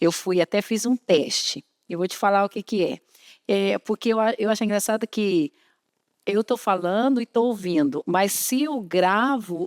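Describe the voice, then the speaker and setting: A woman speaks at a medium pitch with ordinary pitch variation and a fairly slow pace. The recording is very clean with a silent background and a dry, close sound with no echo. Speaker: program presenter. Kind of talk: interview on a church program. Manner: hesitant, repeating words.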